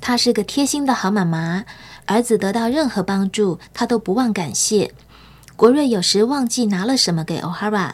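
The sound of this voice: What you hear is an unforced reading voice.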